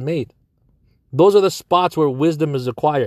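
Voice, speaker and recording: At a moderate pace, a man with a fairly high pitch and ordinary pitch variation speaks in a normal speaking voice, recorded very cleanly with a silent background and a dry, close sound with no echo. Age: 30s. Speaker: business coach. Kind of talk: personal monologue. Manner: casual.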